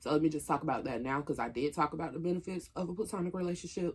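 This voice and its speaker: With an Atlanta accent, a woman speaks fairly quickly in a very deep, low pitch. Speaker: YouTuber. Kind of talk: casual mukbang vlog talk. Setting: at home, camera propped up.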